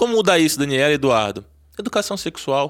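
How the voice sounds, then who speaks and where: Recorded very cleanly against a silent background, a fairly high-pitched man with a Brazilian accent speaks at a fairly quick pace with very wide pitch swings. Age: 40s. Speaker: urologist and sex therapist. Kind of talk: interview.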